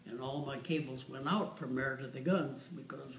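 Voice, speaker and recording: Some room echo and noticeable background noise surround a man who talks at a moderate pace in an American accent, his pitch fairly high for a man. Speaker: war veteran. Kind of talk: casual chat. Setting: waiting room. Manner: halting.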